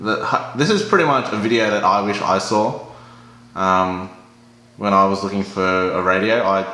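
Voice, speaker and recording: Speaking at a moderate pace with fairly even intonation, a man uses a fairly low pitch against noticeable background noise. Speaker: product reviewer. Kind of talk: casual talk to camera. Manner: casual, hesitant.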